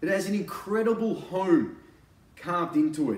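Noticeable background noise sits behind a man speaking at a high pitch. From Australia. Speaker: real estate agent and auctioneer. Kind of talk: real estate sales pitch to camera. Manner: casual, conversational, persuasive. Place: home room. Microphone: camera far.

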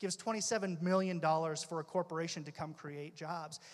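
This man's voice sits high in pitch. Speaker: labour union leader; panelist. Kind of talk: panel discussion. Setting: stage with audience. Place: stage. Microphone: handheld.

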